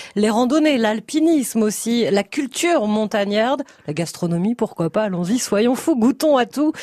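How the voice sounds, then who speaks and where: With a normal speaking voice, a woman of fairly high pitch talks at a moderate pace with lively intonation. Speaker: radio host. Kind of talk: radio phone-in show. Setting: studio.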